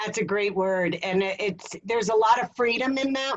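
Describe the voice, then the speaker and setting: In an American accent, a woman with an unremarkable speaking voice talks at a moderate pace and a fairly high pitch, with ordinary pitch variation. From New Jersey. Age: 50s. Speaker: sales coach. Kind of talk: interview.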